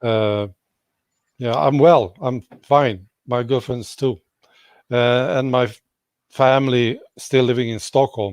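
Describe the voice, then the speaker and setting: A man's medium-pitched voice with a Swedish accent, a very slow pace, ordinary pitch variation and long, frequent pauses. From Sweden. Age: 60s. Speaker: YouTube commentator. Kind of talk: casual interview.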